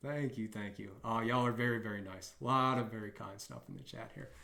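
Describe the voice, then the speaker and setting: The speech moves at a fairly quick pace with ordinary pitch variation and big swings in loudness. Audible room echo surrounds the voice. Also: man. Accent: American. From US South. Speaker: bug bounty hunter streamer. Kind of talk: live stream tutorial. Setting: live stream. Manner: casual, hesitant with fillers.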